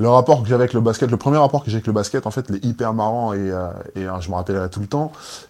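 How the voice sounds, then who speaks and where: With ordinary pitch variation, a man rattles through his words at a very fast pace. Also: medium pitch for a man. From Guadeloupe. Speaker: basketball player. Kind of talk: casual chat.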